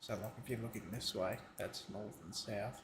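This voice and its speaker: A man whispers quietly in a somewhat breathy voice. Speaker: streamer building a game map. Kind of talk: casual live-stream commentary. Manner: whispering, quiet.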